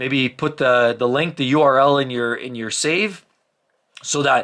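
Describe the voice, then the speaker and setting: Loud and fairly high-pitched, a man speaks with a bright, sharp tone. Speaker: car YouTuber giving buying advice. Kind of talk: casual monologue reading viewer comments. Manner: fast.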